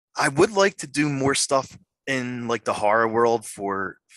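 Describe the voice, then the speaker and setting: This man has a bright, sharp tone and fairly even intonation. The sound is dry and close, with no echo. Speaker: podcast host and horror actor. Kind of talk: interview. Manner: halting, repeats words.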